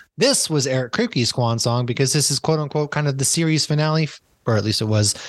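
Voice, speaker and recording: A man with an American accent and a medium pitch talks at a very fast pace, with ordinary pitch variation and very even loudness against a quiet background. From Massachusetts. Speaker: podcast host. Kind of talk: casual chat.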